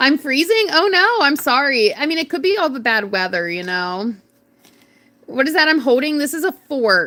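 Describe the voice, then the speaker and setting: At a moderate pace, the speaker uses an animated, raised and projected voice with a bright, sharp tone and very wide pitch swings. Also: woman. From North Carolina. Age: 30s. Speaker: craft livestreamer. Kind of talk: casual livestream chat. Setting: livestream.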